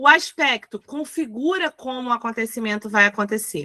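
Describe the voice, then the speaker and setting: Over a quiet background, a woman projects a raised voice with a bright, sharp tone and very wide pitch swings, speaking at a fairly slow pace in a dry, close sound with no echo. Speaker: teacher. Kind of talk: lecture.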